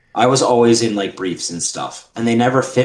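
Speaking in a New York accent, a man of medium pitch talks at a fairly quick pace. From New York City, Queens. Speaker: lawyer. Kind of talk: casual chat.

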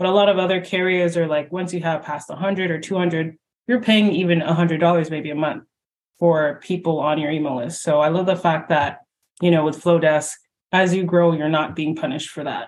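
A woman with a Canadian accent has an ordinary speaking voice at a fairly low pitch. She speaks at a fairly quick pace with fairly even intonation. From Canada. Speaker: podcast host. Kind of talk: interview.

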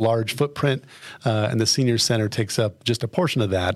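Pitch variation is ordinary, and the voice has an American accent. The background is silent on this very clean recording. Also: man. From Colorado, Fremont County. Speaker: city government official. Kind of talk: interview. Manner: many fillers, hesitant.

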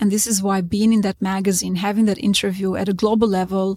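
Speaking in an Albanian accent, a woman keeps a medium pitch and flat, monotone intonation, her sound dry and close with no echo. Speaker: real estate consultant. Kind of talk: interview. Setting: on location at a conference.

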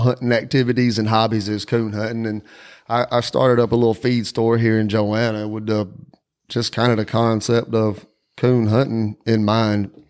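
A man with a Southern US accent speaks at a medium pitch in a flat monotone, recorded very cleanly with a silent background. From South Carolina, Whitmire. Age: 40s. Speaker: podcast host, coon hunter. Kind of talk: casual chat.

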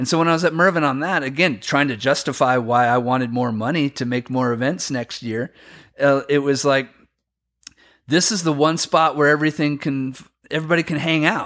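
An ordinary speaking voice with an American accent, a fairly quick pace, and ordinary pitch variation, in a very clean recording with a silent background. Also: man, fairly high pitch for a man. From US inland Northwest. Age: 50s. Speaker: snowboard event organizer. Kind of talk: casual chat.

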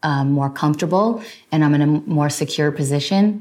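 A woman with a New Jersey accent speaks at a moderate pace in a very deep, low voice with ordinary pitch variation, recorded very cleanly against a silent background. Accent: American (New Jersey). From New Jersey, US. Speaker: podcast host. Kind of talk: solo monologue answering listener questions.

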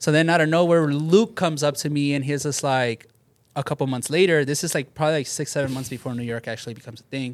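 In a very clean recording with a silent background, a man speaks very fast at a fairly high pitch, his pitch varying in an ordinary way. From Southeast Los Angeles (Bell), California. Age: 30s. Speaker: sneaker store manager. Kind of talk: casual chat.

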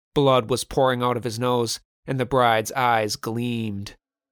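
This is an unforced reading voice heard over a quiet background.

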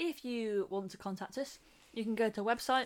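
A woman speaks with an English accent on a very clean recording with a silent background. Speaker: podcast co-host. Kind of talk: casual chat.

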